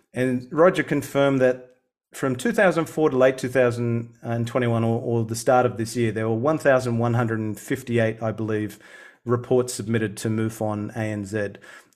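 In an Australian accent, the speaker keeps a moderate pace and fairly even intonation. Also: man, medium pitch for a man. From Sydney, Australia. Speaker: UFO researcher and campaigner. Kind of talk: casual interview.

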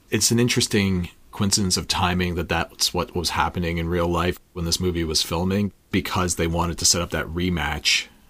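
At a fairly quick pace, a man with a very deep, low pitch speaks in fairly even intonation. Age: 40s. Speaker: podcast co-host. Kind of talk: casual chat.

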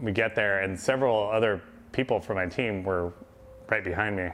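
A man with an American accent talks at a fairly quick pace and a fairly low pitch. His is an unremarkable speaking voice with fairly even intonation. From Southern California. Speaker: ICU nurse manager. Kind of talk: testimony.

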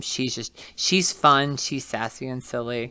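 Recorded very cleanly against a silent background, a man with an American accent speaks fairly slowly at medium pitch, his tone bright and sharp and his intonation fairly even. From West Virginia, Martinsburg. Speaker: hairstylist and TikTok creator. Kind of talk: casual interview.

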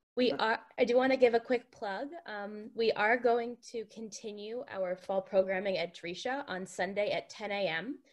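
A woman speaks at fairly high pitch in an ordinary speaking voice, at a moderate pace. Her pitch variation is ordinary, while her loudness swings widely. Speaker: program moderator. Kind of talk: formal introduction.

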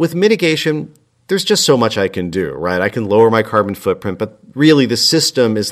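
With an American accent, a man talks at a fairly quick pace in an ordinary speaking voice with ordinary pitch variation. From US, Italian American working-class family. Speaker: climate activist. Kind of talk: casual chat.

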